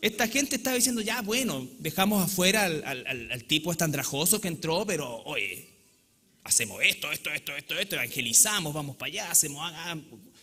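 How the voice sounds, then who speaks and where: Against noticeable background noise, a man talks at a fairly quick pace in a high voice with very wide pitch swings. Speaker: pastor. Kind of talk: sermon. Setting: church.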